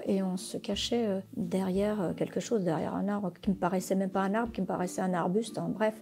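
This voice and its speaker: This woman's voice sits at a medium pitch, and her intonation stays fairly even. The tone comes across as dark and mellow. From Portugal, raised in France from age five. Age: 50s. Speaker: immigrant resident. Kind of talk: personal testimony. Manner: hesitant, many fillers.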